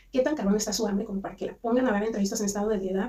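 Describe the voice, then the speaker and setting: A woman with a Mexican accent speaks at a very fast pace. Her pitch is fairly high, with ordinary variation. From Mexico. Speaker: commentary youtuber. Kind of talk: casual commentary monologue. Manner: halting, many restarts.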